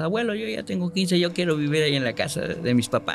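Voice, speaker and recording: A man talks very fast with lively intonation and a fairly high pitch. Noticeable background noise runs underneath. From Mexico, Córdoba, Veracruz. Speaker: journalist. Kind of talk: storytelling interview.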